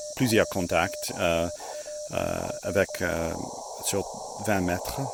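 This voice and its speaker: Over noticeable background noise, a man with an English accent speaks at a very slow pace. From United States. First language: English (speaking French). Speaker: amateur radio operator. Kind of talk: casual outdoor video narration. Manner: halting, many hesitations.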